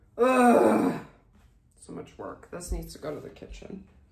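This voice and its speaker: Noticeable background noise runs under the clip. A woman talks at a very slow pace. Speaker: ASMR streamer. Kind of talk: casual talk to camera. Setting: home stream.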